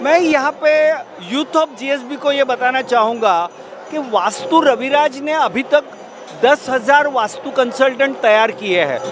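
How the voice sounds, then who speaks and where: Over music in the background, a man speaks at an extremely high pitch with ordinary pitch variation. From Maharashtra, India. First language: Marathi (speaking Hindi). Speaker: vastu consultant and astrology business promoter. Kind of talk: interview. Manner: formal.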